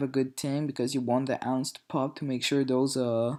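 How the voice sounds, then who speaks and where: Fairly high-pitched man with a French accent in a monotone, flat intonation, on a very clean recording with a silent background. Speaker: gaming video commentator. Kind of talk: gameplay commentary. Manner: hesitant, many fillers.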